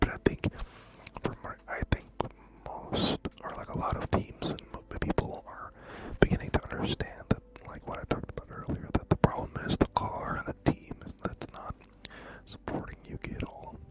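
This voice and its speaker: A man whispers with long, frequent pauses and big swings in loudness. The sound is dry and close with no echo, over noticeable background noise. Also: moderate pace. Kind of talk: ASMR whispering about random topics. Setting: close microphones, binaural, studio. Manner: whispered, close-up.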